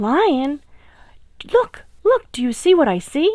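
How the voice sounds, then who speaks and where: A woman performs a put-on character voice, high in pitch and with very wide pitch swings. She delivers it at a fairly slow pace. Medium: read story. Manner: sly, scheming.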